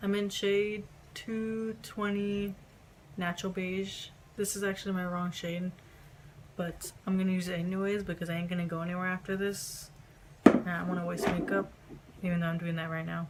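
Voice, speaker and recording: A woman talks at a moderate pace with monotone, flat intonation and long, frequent pauses, over noticeable background noise. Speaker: makeup vlogger. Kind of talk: makeup tutorial talk-through.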